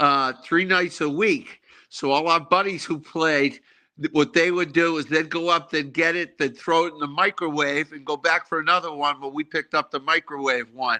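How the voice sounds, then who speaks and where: Dry, close audio with no echo and a quiet background, featuring a man with a Boston accent, fairly high pitch, a bright, sharp tone, fairly even intonation and a moderate pace. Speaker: former college hockey player. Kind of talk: casual chat.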